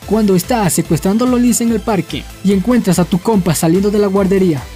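Fairly quick speech with faint music in the background. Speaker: meme video narrator. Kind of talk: meme caption narration. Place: bathroom.

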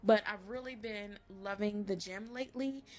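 A woman speaks with a Southern US accent at a fairly high pitch. Her pitch variation is ordinary. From Louisiana. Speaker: voice actor. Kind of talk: casual vlog talk to camera. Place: home room. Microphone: phone near.

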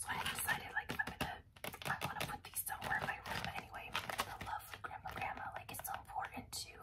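A woman whispers at a very fast pace. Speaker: ASMR creator. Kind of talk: ASMR rambling vlog; casual talk to camera. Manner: whispered. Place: home room.

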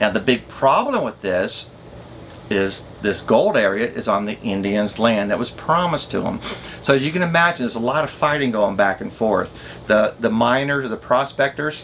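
A man delivers his words at a moderate pace and with lively intonation, with light background noise behind him. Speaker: RV travel vlogger. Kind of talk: casual vlog chat explaining history. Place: home room.

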